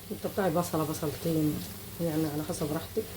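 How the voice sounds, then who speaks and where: With an Egyptian accent, the speaker talks at a fairly quick pace amid audible room echo and noticeable background noise. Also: woman. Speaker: cooking channel host. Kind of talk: cooking tutorial. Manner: casual.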